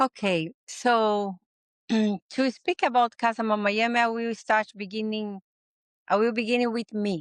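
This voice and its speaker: A woman with a Portuguese accent speaks fairly slowly at a fairly high pitch with ordinary variation. The sound is dry and close with no echo, on a very clean recording with a silent background. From Brazil. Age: 60s. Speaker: healing sanctuary founder. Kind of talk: interview conversation. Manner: halting non-native phrasing.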